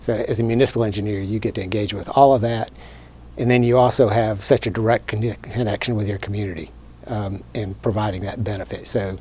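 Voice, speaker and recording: A man's fairly low voice with an American accent, very fast and fairly even in intonation, in a dry sound with no echo. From North Carolina, Fayetteville; North Carolina. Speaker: city public works director; guest. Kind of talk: interview. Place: studio.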